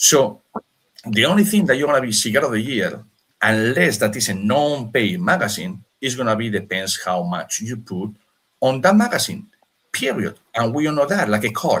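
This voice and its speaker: Animated in tone, a man with a non-native accent speaks at a moderate pace with very wide pitch swings. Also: medium pitch for a man. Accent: foreign. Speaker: cigar maker. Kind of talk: casual chat. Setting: live stream.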